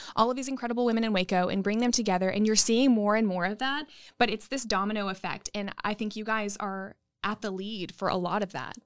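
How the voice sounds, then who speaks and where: In a very clean recording with a silent background, a woman with an ordinary speaking voice talks fairly quickly, her pitch fairly high and her intonation fairly even. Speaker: business chamber leader and former news anchor. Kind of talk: interview.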